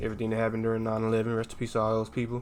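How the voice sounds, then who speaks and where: A man at a medium pitch talks in an animated tone. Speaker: day trader streaming live. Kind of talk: live trading commentary. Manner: loud; casual, animated.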